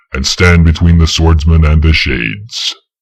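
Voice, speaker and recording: A man's very deep, low voice at a moderate pace. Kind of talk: solemn legend narration. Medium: read story. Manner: measured, grave.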